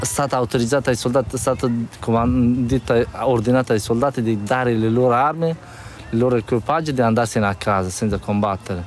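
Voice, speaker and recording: With ordinary pitch variation and a medium pitch, the man talks at a fairly quick pace over noticeable background noise. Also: very even loudness. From northeastern Afghanistan, Badakhshan. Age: 20s. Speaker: refugee, former army officer. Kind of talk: testimony. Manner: halting, non-native phrasing.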